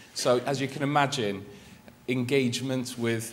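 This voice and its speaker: Welsh accent, monotone, flat intonation and a moderate pace, with audible room echo and noticeable background noise. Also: man. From Wales. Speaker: journalist and magazine editor. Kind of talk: conference presentation. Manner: hesitant, many fillers and restarts.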